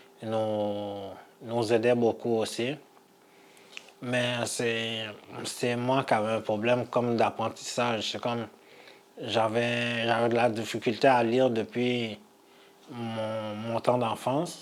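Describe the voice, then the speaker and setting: A man with a non-native accent talks at a very slow pace in a monotone, flat intonation, leaving long, frequent pauses over noticeable background noise. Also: medium pitch for a man. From immigrated as a child, grew up in Quebec. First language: not French (speaking French). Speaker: adult learner with low literacy. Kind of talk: personal testimony. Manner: halting.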